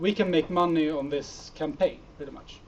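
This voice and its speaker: Speaking at a fairly slow pace, a man with a Swedish accent has a fairly high pitch and ordinary pitch variation. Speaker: startup founder. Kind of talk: conference talk with Q&A. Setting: meetup stage with audience. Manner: hesitant, many fillers.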